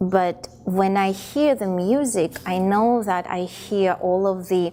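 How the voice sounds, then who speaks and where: A woman with a Russian accent and ordinary pitch variation. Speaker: performer, dancer. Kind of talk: interview. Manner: halting, many repetitions.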